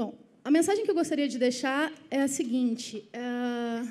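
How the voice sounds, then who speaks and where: At a fairly slow pace, a woman speaks with a high pitch, a dark, mellow tone and ordinary pitch variation. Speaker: education ministry official; panelist. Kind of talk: panel presentation. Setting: auditorium with live audience. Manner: formal. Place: hall. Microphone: podium.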